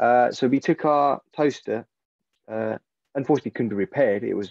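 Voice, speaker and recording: Against a quiet background, a man talks at a fairly quick pace in a dark, mellow tone. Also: dry sound with no echo. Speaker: repair cafe volunteer; webinar panelist. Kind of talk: interview. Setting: video call. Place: home room. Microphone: video call.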